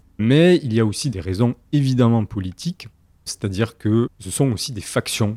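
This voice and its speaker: Lively intonation marks a man's dark, mellow voice at a fairly slow pace. The recording is very clean, with a silent background. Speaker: historian, recent PhD on 16th-century rumour. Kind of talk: interview. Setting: recording room in Bordeaux. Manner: hesitant, many fillers.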